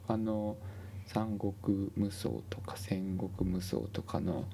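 There is some breathiness in this man's voice. His tone is dark and mellow. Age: 40s. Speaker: healthcare worker and gaming podcast co-host. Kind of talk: casual chat.

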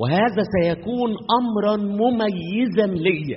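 A high-pitched man with an Egyptian accent amid audible room echo. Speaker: pastor. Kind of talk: sermon.

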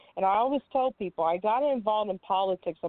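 A woman's normal speaking voice with an American accent, ordinary pitch variation and a moderate pace. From California. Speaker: Air Force veteran and congressional candidate. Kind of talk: radio interview. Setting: studio.

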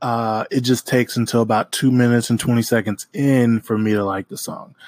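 A normal speaking voice, a man with an American accent talks at medium pitch and a moderate pace with fairly even intonation, in a dry, close sound with no echo on a very clean recording with a silent background. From Oklahoma. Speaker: podcast host, music reviewer. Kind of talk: casual solo music review.

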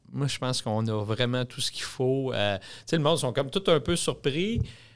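In a very clean recording with a silent background, a man with a Quebec accent speaks at a medium pitch. His intonation is lively and his pace moderate. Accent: Québécois French. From Quebec (Drummondville). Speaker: restaurant chain executive. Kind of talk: interview. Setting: studio.

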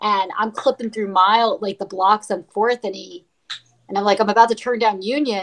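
A woman speaks in an American accent at a moderate pace with fairly even intonation. Her loudness swings a lot. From New York, Brooklyn. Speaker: ultramarathon runner. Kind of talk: casual chat. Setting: video call.

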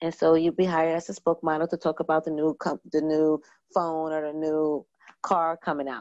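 A woman with an American accent uses a normal speaking voice, fairly low in pitch, at a fairly quick pace. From New York (Brooklyn, Long Island). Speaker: event planner and producer. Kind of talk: casual interview.

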